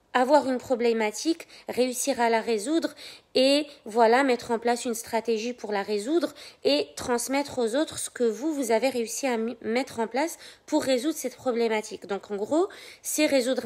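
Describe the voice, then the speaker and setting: A high-pitched woman's voice at a moderate pace, with ordinary pitch variation. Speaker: life coach. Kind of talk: live stream talk. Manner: soft-spoken.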